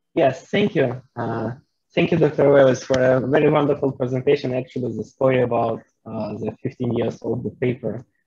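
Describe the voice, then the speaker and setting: Against a quiet background, a man with a dark, mellow, somewhat breathy tone talks at a moderate pace with ordinary pitch variation. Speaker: audience member, researcher; audience member. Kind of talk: audience question. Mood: friendly, smiling. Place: open country. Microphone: video call.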